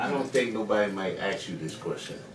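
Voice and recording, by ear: Over audible room echo, a man speaks at a fairly quick pace, his fairly low pitch carried by lively intonation.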